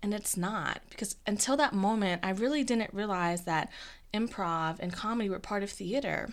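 On a very clean recording with a silent background, an ordinary speaking voice holds a moderate pace and shows ordinary pitch variation. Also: woman, medium pitch for a woman. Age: 20s. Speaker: podcast host and improviser. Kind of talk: solo podcast monologue.

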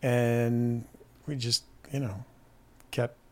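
A somewhat breathy man, medium pitch, flat monotone intonation. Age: 50s. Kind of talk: casual chat.

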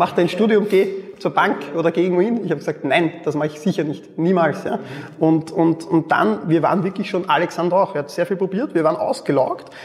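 The man's voice is high-pitched and moves at a fairly quick pace. Noticeable background noise runs underneath. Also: ordinary pitch variation. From Austria, Mödling near Vienna. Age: 30s. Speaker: e-commerce entrepreneur. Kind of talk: interview.

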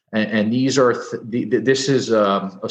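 A man speaks with a New Jersey accent in a monotone, flat intonation. The background is quiet. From New Jersey (Edison). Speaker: personal injury lawyer. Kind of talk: interview.

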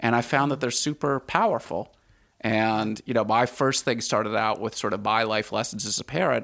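A man's fairly quick speech in a normal speaking voice with an American accent and ordinary pitch variation, on a very clean recording with a silent background. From Washington, D.C., US. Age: 50s. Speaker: former hedge fund manager, writer and podcaster. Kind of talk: interview.

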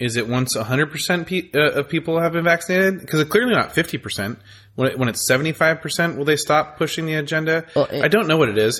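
In a plain, everyday voice, a man with an American accent speaks at a fairly quick pace with fairly high pitch and lively intonation over a quiet background. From California. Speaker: podcast co-host. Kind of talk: casual chat.

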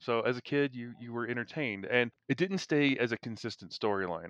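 Here is a man with an ordinary speaking voice, medium in pitch and lively in intonation, moving at a moderate pace. The sound is dry and close with no echo, against a quiet background. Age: 50s. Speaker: podcast host. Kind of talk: casual chat.

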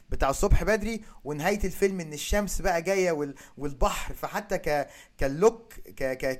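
This is a man speaking at a high pitch. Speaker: podcast host. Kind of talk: casual chat.

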